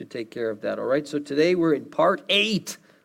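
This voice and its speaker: This man uses an ordinary speaking voice, keeping a moderate pace and ordinary pitch variation. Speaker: church pastor. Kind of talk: sermon. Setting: church with online stream.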